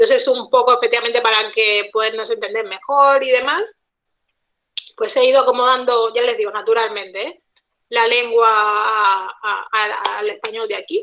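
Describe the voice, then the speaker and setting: The delivery moves at a moderate pace. Intonation stays fairly even throughout. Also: woman, fairly high pitch for a woman. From Cuba. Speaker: guest speaker, Cuban linguist living abroad. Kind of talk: online talk interview. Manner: hesitant with many repetitions.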